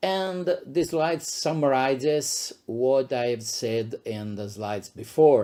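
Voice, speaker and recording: A man's dark, mellow voice at a medium pitch, very slow in pace with hardly any pauses. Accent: Italian. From Italy, Abruzzo. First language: Italian. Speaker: psychiatrist and professor. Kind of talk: lecture. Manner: halting, many fillers.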